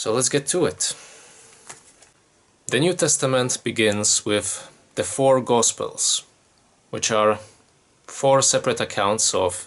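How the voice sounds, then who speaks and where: Very slow speech in a Polish accent with long, frequent pauses. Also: man. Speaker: YouTuber giving Bible commentary. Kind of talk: solo commentary from notes. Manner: casual, conversational.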